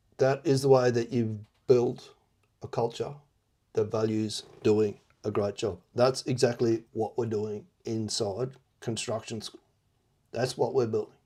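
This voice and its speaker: Speaking with an Australian accent, a man uses a medium pitch and a dark, mellow tone, with monotone, flat intonation, a fairly slow pace and long, frequent pauses. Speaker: construction business coach. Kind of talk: video log commentary. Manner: casual.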